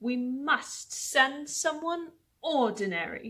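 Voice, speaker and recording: A woman's put-on character voice, high-pitched and very slow, with lively intonation. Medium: read story. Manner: commanding, imperious.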